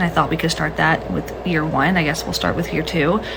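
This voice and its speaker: Soft-spoken, a woman talks at a fairly quick pace with ordinary pitch variation, with audible room echo and noticeable background noise. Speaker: social media user. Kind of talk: casual vlog rant.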